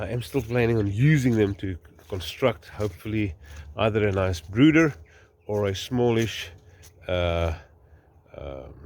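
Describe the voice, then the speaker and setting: A man with an Afrikaans South African accent speaks at a fairly slow pace, his very deep, low voice somewhat breathy and his intonation lively. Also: very clean recording, silent background. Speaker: farmer. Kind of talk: casual vlog narration. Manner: halting, many fillers.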